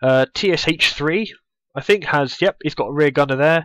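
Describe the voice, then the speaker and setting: With a Bristol accent, a man speaks at a moderate pace and a fairly high pitch, in a dry, close sound with no echo. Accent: Bristolian English. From Bristol, England. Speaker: gaming youtuber. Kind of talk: gameplay commentary. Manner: casual, many fillers.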